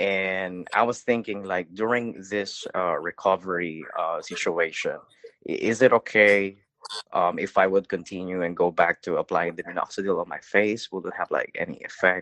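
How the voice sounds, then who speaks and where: The recording is dry and close with no echo as a man speaks at a moderate pace. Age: 30s. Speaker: caller. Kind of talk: phone-in question.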